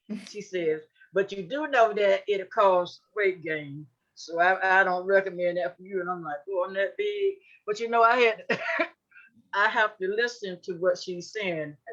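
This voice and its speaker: With a normal speaking voice, a woman talks at a fairly slow pace in a medium pitch with ordinary pitch variation. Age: 60s. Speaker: panelist living with HIV. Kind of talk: panel discussion.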